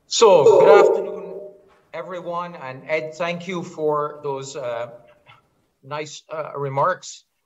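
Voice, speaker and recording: Very slow and marked by big swings in loudness, a man talks at a high pitch with audible room echo. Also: ordinary pitch variation. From Barbados. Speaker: pediatric hematologist. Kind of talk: lecture. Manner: hesitant with fillers.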